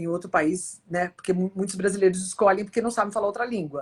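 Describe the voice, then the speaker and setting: A woman's unremarkable speaking voice, medium in pitch, with fairly even intonation. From Brazil. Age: 60s. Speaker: futurist speaker. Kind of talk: interview.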